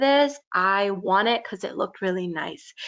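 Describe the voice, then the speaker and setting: With a slight Californian accent, a woman talks at a fairly slow pace. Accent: California valley girl accent, slight. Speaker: youth teacher. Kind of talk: talk to children. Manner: casual, many fillers.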